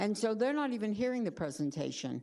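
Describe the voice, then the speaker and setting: A woman's medium-pitched voice with audible room echo. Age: 70s. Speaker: city commissioner. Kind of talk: public town hall meeting remarks. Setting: commission chambers.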